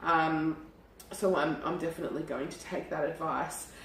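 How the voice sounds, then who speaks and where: A woman's very deep, low voice at a moderate pace, with noticeable background noise. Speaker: cafe owner and cooking host. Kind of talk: casual talk to camera.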